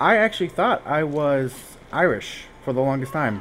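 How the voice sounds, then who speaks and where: A man speaks at a fairly slow pace in a fairly high pitch amid noticeable background noise. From US, partly raised in Texas. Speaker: gaming streamer. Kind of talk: live gameplay stream chat. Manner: casual, rambling with self-corrections.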